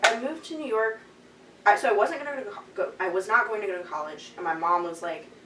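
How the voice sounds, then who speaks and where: A woman with an American accent and a fairly high voice races along at a very fast pace, with very wide pitch swings and big swings in loudness, amid audible room echo and noticeable background noise. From Chicago, US Midwest. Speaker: Brazilian jiu-jitsu athlete and coach. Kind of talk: casual podcast interview. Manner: casual, many fillers.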